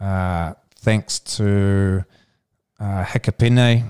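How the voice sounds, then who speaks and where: In a very clean recording with a silent background and a dry, close sound with no echo, a man speaks with a New Zealand accent at a fairly low pitch. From New Zealand, Central Otago. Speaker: touch sport administrator and former player. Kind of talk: podcast interview.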